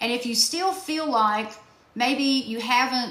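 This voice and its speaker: With audible room echo around her, a woman talks at a moderate pace in a high pitch. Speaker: self-help workshop host. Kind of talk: live-stream workshop. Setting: TikTok live stream.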